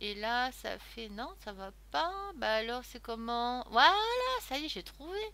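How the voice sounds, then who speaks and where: A woman speaks very slowly in a bright, sharp tone. Her pitch swings very widely, and her loudness swings a lot. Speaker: crafting YouTuber. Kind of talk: unboxing haul video. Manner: casual, chatty with fillers.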